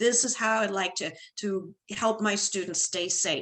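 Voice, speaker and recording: At a moderate pace, a woman speaks in a bright, sharp tone with lively intonation. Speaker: retired band director, workshop presenter. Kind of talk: online professional development presentation.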